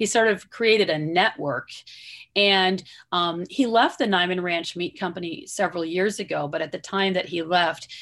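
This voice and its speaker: With an American accent, a woman speaks in a plain, everyday voice at a fairly low pitch, using ordinary pitch variation. Her pace is moderate, and the recording is very clean with a silent background. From US Midwest, southwestern Michigan. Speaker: rancher, author and former environmental lawyer. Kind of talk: interview.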